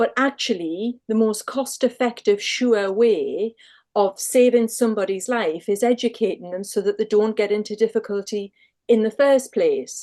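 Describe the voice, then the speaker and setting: This woman speaks with a Northumbrian accent at a fairly high pitch and a dark, mellow tone. Her pace is moderate and her intonation fairly even. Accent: Northumbrian accent, kept. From Northumberland, northern England. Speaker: lifeboat crew member and sea safety volunteer. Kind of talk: casual interview chat.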